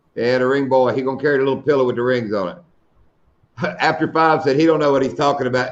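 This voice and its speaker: A man talks at a very fast pace, broken by long, frequent pauses, with audible room echo. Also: medium pitch for a man, ordinary pitch variation. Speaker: live stream host. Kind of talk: casual chat. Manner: loud.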